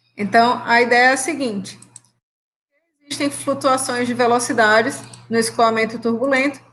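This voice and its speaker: A woman's high pitch and monotone, flat intonation at a moderate pace. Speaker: university professor. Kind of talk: lecture.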